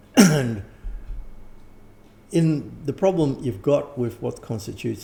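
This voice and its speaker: The voice has vocal fry and an Australian accent. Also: man. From Australia or New Zealand. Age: 70s. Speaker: occult teacher and author. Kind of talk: interview. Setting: at home. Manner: halting, with false starts.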